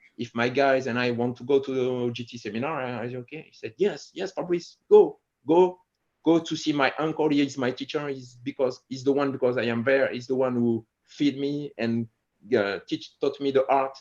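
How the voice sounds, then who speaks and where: A man with a French accent and fairly even intonation. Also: medium pitch for a man, moderate pace. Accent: French accent in English, Franglish. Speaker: martial arts instructor. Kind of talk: interview conversation. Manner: halting, frequent restarts and fillers.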